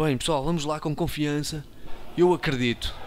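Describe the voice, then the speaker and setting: An animated man speaks with a European Portuguese accent. His pitch is fairly high. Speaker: gaming youtuber. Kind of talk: let's play commentary.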